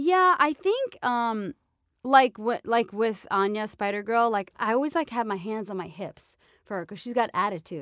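A woman talks in an ordinary speaking voice, fairly high in pitch, with lively intonation and big swings in loudness at a moderate pace. The recording is very clean with a silent background, and the sound is dry and close with no echo. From New York. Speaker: voice actor. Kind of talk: casual chat. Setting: studio.

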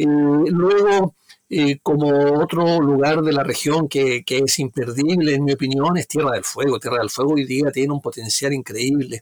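Recorded dry and close with no echo, a man with a fairly high voice talks at a fairly slow pace with ordinary pitch variation. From southern Chile, Magallanes (Punta Arenas). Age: 60s. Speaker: tour guide, guides association president. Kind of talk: interview. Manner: halting, many repeated words.

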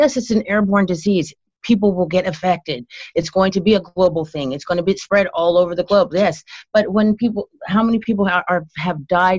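Somewhat breathy and at medium pitch, a woman speaks at a fairly quick pace with ordinary pitch variation and big swings in loudness, in a dry, close sound with no echo. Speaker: guest, wife of main guest. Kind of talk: casual chat.

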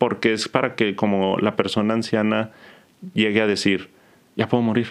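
A man with a medium-pitched voice speaks very fast. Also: quiet background. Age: 30s. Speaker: psychologist. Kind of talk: casual interview.

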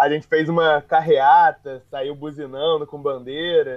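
Fairly slow, monotone speech from a man with a fairly high pitch and flat intonation. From Rio de Janeiro. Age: 20s. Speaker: football podcast co-host, Botafogo fan. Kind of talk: casual football chat. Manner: halting.

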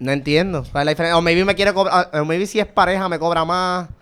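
Speaking with a Puerto Rican accent, a man sounds animated at a fairly quick pace. His pitch is fairly high, with ordinary variation. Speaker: podcast co-host. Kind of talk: casual chat.

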